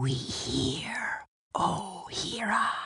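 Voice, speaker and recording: A woman whispers in a put-on character voice. She growls as well. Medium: audio drama. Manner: whispering, fawning.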